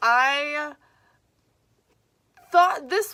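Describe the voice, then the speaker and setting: A woman speaks at a very slow pace in a raised, projected voice. Her tone is bright and sharp. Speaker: vlogger and writer. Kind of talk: casual vlog monologue. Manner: hesitant, many fillers.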